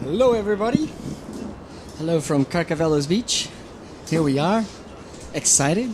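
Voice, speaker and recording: A man with a Portuguese accent, high-pitched, at a moderate pace, with lively intonation, very even loudness, long and frequent pauses, and noticeable background noise. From Portugal. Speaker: surf contest commentator. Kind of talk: live commentary. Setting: outdoors at the beach.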